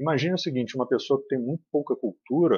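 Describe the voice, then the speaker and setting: A man speaks with a somewhat breathy voice. It sits fairly high in pitch. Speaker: spiritist lecturer. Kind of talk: lecture. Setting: spiritist centre. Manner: serious.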